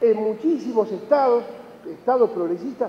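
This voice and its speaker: Pitched extremely high for a man, his voice moves at a fairly quick pace with ordinary pitch variation over noticeable background noise. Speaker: economist speaker at a conference. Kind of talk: conference talk. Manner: fast; animated.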